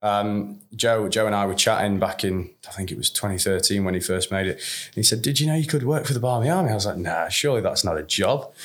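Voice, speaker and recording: Speaking with a Yorkshire accent, a man uses lively intonation and a fairly low pitch. His pace is very fast, with hardly any pauses. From northern England, Sheffield. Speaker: managing director of a cricket supporters' travel business. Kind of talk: interview.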